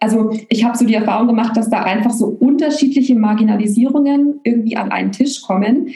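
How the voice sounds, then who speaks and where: A woman with a fairly high pitch races along at a very fast pace with hardly any pauses and fairly even intonation, amid audible room echo and noticeable background noise. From Germany, Bavaria (Augsburg). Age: 30s. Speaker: coach and therapist. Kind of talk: casual chat.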